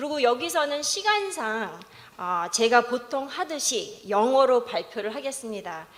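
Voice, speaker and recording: A high-pitched woman talks at a fairly slow pace with very wide pitch swings, as noticeable background noise and audible room echo fill the recording. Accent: non-native. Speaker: researcher presenting a study. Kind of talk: conference presentation remarks. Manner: halting.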